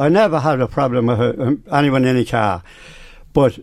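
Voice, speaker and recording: A man with a rural Irish accent, lively intonation and a moderate pace. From Ireland, County Meath near Navan. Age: 80s+. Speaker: veteran amateur cyclist. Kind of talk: radio interview. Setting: radio studio. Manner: halting.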